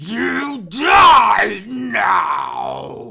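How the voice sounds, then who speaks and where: A man uses a put-on character voice. It comes out raspy and growling. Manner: growling, menacing.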